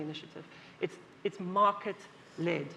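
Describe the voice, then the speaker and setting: Her pitch is fairly low and her intonation fairly even. Noticeable background noise runs behind this woman. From South Africa. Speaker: industry expert panelist. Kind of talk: conference panel discussion.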